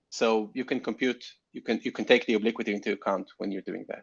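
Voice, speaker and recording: At a very fast pace, a man with a medium-pitched voice talks with fairly even intonation. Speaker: planetary scientist. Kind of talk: conference talk Q&A. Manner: stuttering, halting.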